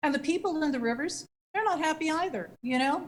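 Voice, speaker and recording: Lively in intonation, a woman speaks at a very fast pace in a somewhat breathy voice. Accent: American. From US West, West Sacramento, California. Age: 60s. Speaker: city council member. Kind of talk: council meeting debate.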